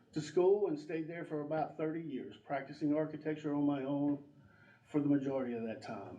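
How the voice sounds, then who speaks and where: A man in an American accent, fairly high in pitch with ordinary pitch variation, amid audible room echo and noticeable background noise. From US South, North Carolina (Drexel). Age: 60s. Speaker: election candidate. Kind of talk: candidate forum speech. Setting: community room with audience.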